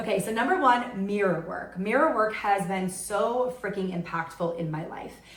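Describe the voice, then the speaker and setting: An American accent with ordinary pitch variation, plus noticeable background noise and audible room echo. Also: woman. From New York. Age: 30s. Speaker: podcast host. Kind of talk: solo podcast monologue. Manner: loud; animated.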